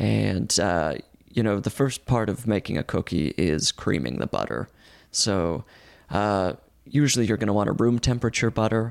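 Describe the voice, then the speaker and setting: With lively intonation and vocal fry, a man with fairly low pitch talks at a moderate pace in a dry, close sound with no echo. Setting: video call.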